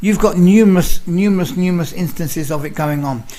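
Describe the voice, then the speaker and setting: A man with a London accent speaks at a fairly quick pace. Noticeable background noise is present. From London, England. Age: 60s. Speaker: nutritional researcher, activist. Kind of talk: interview; casual chat. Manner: halting, repeats words.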